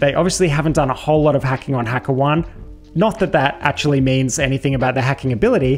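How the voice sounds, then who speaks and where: A man speaks over faint music in the background. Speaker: security educator. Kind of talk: tutorial commentary over screen share.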